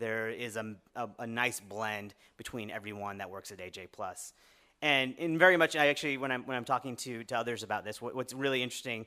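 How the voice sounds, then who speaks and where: A man speaks at a fairly quick pace and medium pitch with ordinary pitch variation and big swings in loudness. His tone is bright and sharp on a very clean recording with a silent background. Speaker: media engagement lead giving a talk. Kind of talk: conference talk. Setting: lecture room with audience. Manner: fast; halting, many fillers and restarts.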